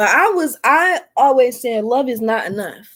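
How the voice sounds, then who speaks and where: A woman with a Detroit accent talks at a fairly slow pace in a high pitch, her tone animated. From US Midwest, Detroit. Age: 20s. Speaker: tarot reader and spiritual content creator. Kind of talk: tarot reading. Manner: casual.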